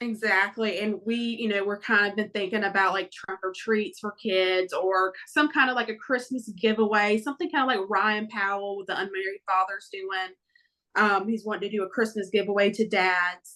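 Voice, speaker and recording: A woman with a Southern accent speaks at a moderate pace in a bright, sharp tone. Her pitch sits in the middle of her range, with fairly even intonation. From Florida. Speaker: family court reform advocate. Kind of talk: podcast interview. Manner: hesitant, many fillers.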